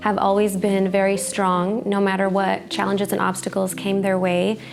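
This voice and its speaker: Over noticeable background noise and audible room echo, a woman talks at a moderate pace in a Spanish accent. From United States, Mexican immigrant family. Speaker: real estate agent. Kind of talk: personal testimony.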